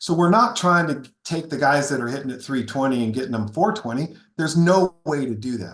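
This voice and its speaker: A plain, everyday voice with lively intonation, a fairly quick pace and hardly any pauses. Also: man, fairly high pitch for a man. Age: 60s. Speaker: golf equipment company founder, former long drive competitor. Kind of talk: podcast interview.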